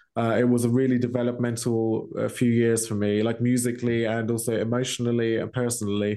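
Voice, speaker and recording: The speaker talks at a very fast pace in a British accent, with monotone, flat intonation. The tone is dark and mellow, and the background is quiet. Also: man, medium pitch for a man. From England. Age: 30s. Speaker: metal vocalist. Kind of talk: casual chat.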